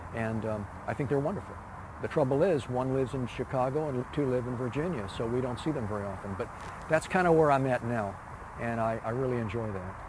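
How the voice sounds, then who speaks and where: A man speaks at a very fast pace in a medium pitch with ordinary pitch variation. Noticeable background noise runs underneath. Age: 70s. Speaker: retired park designer. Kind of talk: interview. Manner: halting, many fillers.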